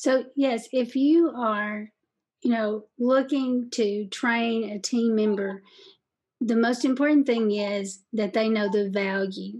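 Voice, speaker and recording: Very slow in pace, a woman speaks at a fairly high pitch. Her pitch varies in an ordinary way. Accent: Kentucky. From Southeast Kentucky. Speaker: sales podcast host and coach. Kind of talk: interview, casual advice chat. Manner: warm, friendly.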